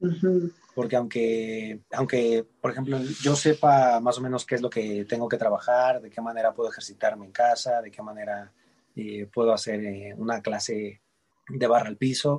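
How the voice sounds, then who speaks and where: A man talks at a moderate pace in a medium pitch, his pitch varying in an ordinary way while his loudness swings widely. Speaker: ballet dancer. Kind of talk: interview. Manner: halting, frequent repetitions.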